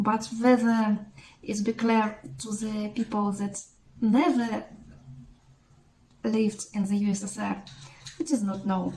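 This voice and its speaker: In a Russian accent, a woman talks fairly slowly at a fairly high pitch, with a dark, mellow, somewhat breathy tone. Her intonation is fairly even, broken by long, frequent pauses. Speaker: mathematics blogger. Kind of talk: educational explainer. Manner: halting.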